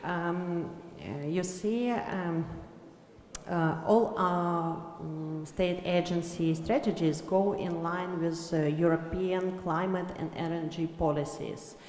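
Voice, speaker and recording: A woman with a Ukrainian accent speaks at a very slow pace with fairly even intonation. Audible room echo and noticeable background noise are present. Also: fairly low pitch for a woman. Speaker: government agency official. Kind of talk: panel discussion. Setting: conference panel. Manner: halting, many fillers.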